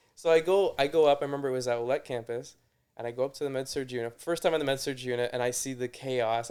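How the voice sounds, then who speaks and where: The speaker has a slight Canadian accent. The pitch variation is ordinary. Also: man. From Toronto, Canada. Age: 30s. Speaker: nurse. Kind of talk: casual chat. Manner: halting.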